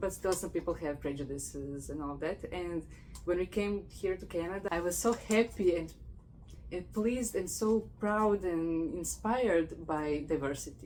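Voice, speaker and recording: The voice carries vocal fry. It moves at a moderate pace with ordinary pitch variation. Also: woman, fairly low pitch for a woman. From Croatia. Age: 40s. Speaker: podcast host, PhD student. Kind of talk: casual interview conversation.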